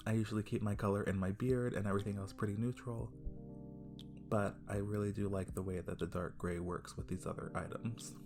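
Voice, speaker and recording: A soft-spoken voice moves at a fairly quick pace with music in the background. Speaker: weaver. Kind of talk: casual craft tutorial narration. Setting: home recording with a basic microphone. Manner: soft-spoken, quiet.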